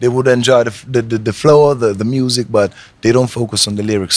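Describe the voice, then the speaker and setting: A man is speaking. He has an Italian accent. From Italy. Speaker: reggae artist. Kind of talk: interview. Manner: halting.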